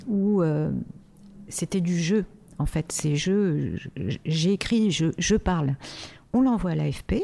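Her voice has a dark, mellow tone and a fairly low pitch. The woman speaks very slowly, with ordinary pitch variation. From Morocco, Casablanca. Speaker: music artist manager. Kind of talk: interview. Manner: hesitant, many fillers.

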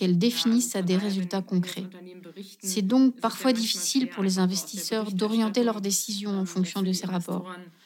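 Noticeable background noise runs under a woman whose intonation is fairly even. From Germany. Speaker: economist. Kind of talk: interview. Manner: formal.

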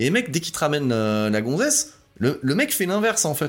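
A man speaks with very wide swings in pitch on a very clean recording against a silent background. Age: 40s. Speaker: podcast host. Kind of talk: solo monologue podcast. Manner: halting.

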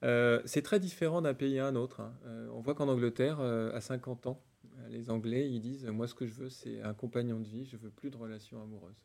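A man talks at a moderate pace in a normal speaking voice. His pitch is medium, with fairly even intonation. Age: 40s. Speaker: tech company executive. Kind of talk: interview.

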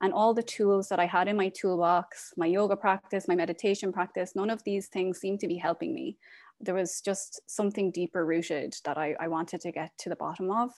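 Against a quiet background, a woman talks with hardly any pauses and fairly even intonation. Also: medium pitch for a woman, fairly quick pace. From Ireland. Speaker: end-of-life doula and yoga teacher. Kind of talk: interview.

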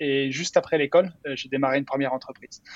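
A man with a fairly high pitch speaks in monotone, flat intonation. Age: 30s. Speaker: startup founder and CEO. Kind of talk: interview. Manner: halting, many repetitions and fillers.

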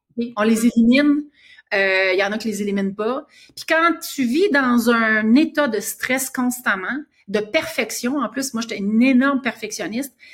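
A woman with a normal speaking voice and a fairly high pitch keeps a moderate pace, her pitch variation ordinary. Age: 50s. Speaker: author and cancer survivor. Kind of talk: interview.

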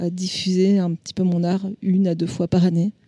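With a dark, mellow tone and flat, monotone intonation, a woman speaks at medium pitch in a dry, close sound with no echo. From French Alps (Chamonix). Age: 40s. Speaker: visual artist. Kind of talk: interview. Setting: art exhibition at a clinic. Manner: hesitant, many fillers.

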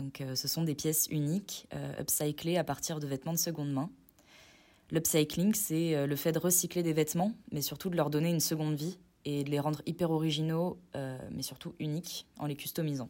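The tone is dark and mellow, with fairly even intonation at a moderate pace. The recording is very clean, with a silent background. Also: woman, very deep, low pitch for a woman. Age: 20s. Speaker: business student and clothing brand co-founder. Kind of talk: recorded testimony.

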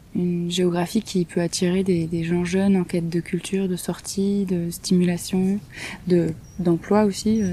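Very slowly and in a flat monotone, a woman speaks in a somewhat breathy voice with a dark, mellow tone. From southern France, Marseille. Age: 30s. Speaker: sheep farm association member. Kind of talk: interview. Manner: hesitant.

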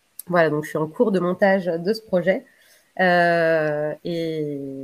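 Fairly even intonation from a woman with a fairly low voice. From Bordeaux, Gironde, France. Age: 30s. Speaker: interviewee. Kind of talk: interview. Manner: hesitant, many fillers and repetitions.

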